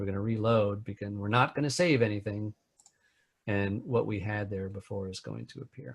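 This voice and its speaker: Somewhat breathy, a man's fairly low voice comes with big swings in loudness. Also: ordinary pitch variation, moderate pace. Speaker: web developer, trainer. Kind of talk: tutorial.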